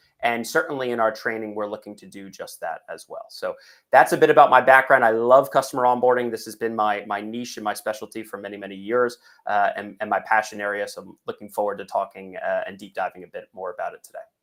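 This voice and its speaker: In an American accent, the speech runs at a very fast pace with big swings in loudness. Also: man. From United States. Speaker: software executive, customer onboarding. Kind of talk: webinar interview.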